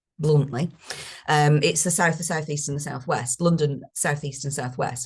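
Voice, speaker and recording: Somewhat breathy and very deep and low in pitch, a woman with a northern English accent speaks at a moderate pace with ordinary pitch variation. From northern England. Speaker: speaker on carers' benefits. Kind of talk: webinar presentation. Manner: animated.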